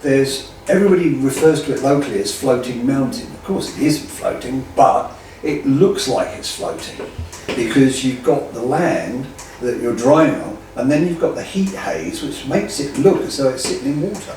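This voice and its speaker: A man with an English accent talks at a moderate pace, his loudness swinging widely, amid audible room echo and noticeable background noise. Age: 60s. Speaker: drag racer and land speed racing enthusiast. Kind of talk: interview. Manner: animated.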